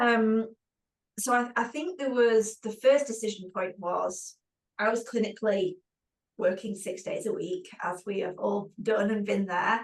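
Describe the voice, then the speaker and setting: Fairly slow delivery with a British accent. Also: woman, fairly high pitch for a woman, ordinary pitch variation. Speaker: physiotherapist and clinic owner. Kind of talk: webinar panel discussion.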